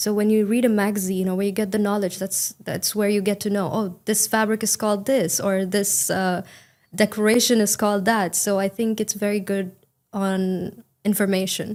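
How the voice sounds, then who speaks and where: Monotone, flat delivery at a moderate pace in an Indian accent, on a very clean recording with a silent background. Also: woman, medium pitch for a woman. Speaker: English exam candidate. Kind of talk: speaking exam interview. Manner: uses intonation well; fluent, casual with fillers.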